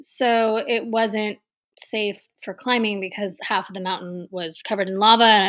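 At a fairly slow pace, a woman with an American accent speaks in a plain, everyday voice at a fairly high pitch, on a very clean recording with a silent background. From Texas. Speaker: travel writer and mountaineer. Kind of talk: interview.

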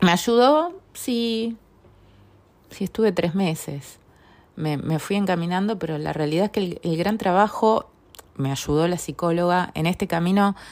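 Pitch varies in an ordinary way at a moderate pace. Nothing is heard behind the voice in this very clean recording. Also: woman. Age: 40s. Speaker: personal growth podcaster. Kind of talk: personal testimony monologue. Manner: hesitant, many fillers and repetitions.

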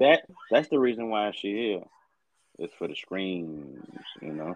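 The delivery is animated, with lively intonation. The pace is moderate. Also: man. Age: 30s. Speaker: podcast co-host. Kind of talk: casual chat.

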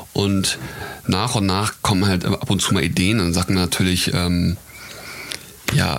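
A man's very deep, low voice over noticeable background noise, fairly slow with long, frequent pauses, very even loudness and ordinary pitch variation. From Hamburg, northern Germany. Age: 20s. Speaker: fashion model and wine entrepreneur. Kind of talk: casual chat. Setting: outdoors at a vineyard.

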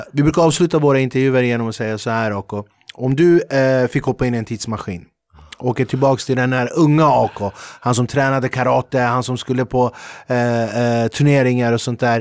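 In a plain, everyday voice, a man speaks at a medium pitch and fairly quick pace with fairly even intonation, the sound dry and close with no echo. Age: 40s. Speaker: podcast host and comedian. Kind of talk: casual interview. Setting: studio.

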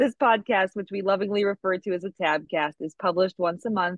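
A woman with a medium-pitched voice talks at a fairly quick pace. She has an ordinary speaking voice. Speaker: podcast co-host, art teacher. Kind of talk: scripted intro then casual chat.

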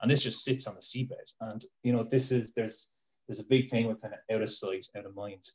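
A man speaks in a southern Irish accent at medium pitch. His voice is somewhat breathy, with fairly even intonation. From Ireland, Waterford. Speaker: fish biologist. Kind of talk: casual chat. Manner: hesitant, repeats words.

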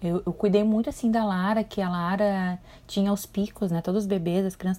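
A woman's somewhat breathy, medium-pitched voice, dark and mellow yet relaxed and warm in tone, with fairly even intonation at a fairly quick pace. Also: very clean recording, silent background. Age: 40s. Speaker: spirituality mentor, podcast host. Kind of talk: casual solo monologue. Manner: relaxed, warm, conversational.

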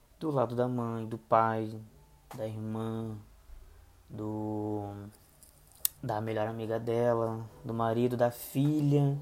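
Very slow and monotone, a man speaks with flat intonation and long, frequent pauses, with audible room echo. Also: medium pitch for a man. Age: 20s. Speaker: podcaster reviewing TV dramas. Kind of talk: solo podcast review. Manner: hesitant, many fillers.

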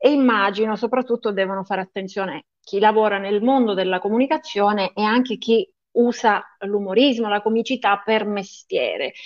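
An unremarkable speaking voice from a woman, fairly high in pitch, with fairly even intonation. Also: moderate pace. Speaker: podcast co-host. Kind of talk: casual interview chat.

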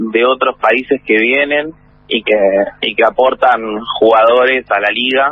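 A man's medium-pitched voice at a fairly slow pace, fairly even intonation, noticeable background noise. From Buenos Aires, Argentina. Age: 30s. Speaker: baseball player and manager. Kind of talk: interview.

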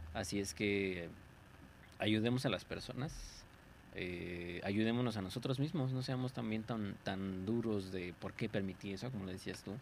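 Speaking in a Mexican accent, a man talks at a fairly slow pace. His pitch is fairly low, with ordinary variation. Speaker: podcast co-host. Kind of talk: casual chat.

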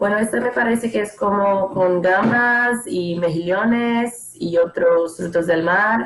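A woman at a medium pitch, very slow in pace with hardly any pauses, very even loudness and ordinary pitch variation, over noticeable background noise. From northeastern Brazil, Maceió. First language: Portuguese (speaking Spanish). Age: 20s. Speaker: former exchange student. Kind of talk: casual chat.

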